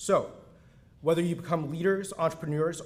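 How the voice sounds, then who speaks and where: The delivery moves at a fairly quick pace with ordinary pitch variation. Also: man. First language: Mandarin. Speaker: university dean. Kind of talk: ceremonial speech. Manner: formal.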